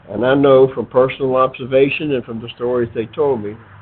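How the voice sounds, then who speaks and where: Noticeable background noise sits behind a man with an American accent speaking at a medium pitch. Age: 70s. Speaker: retired army officer and podcaster. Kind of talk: improvised opinion monologue. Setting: outdoors on front porch.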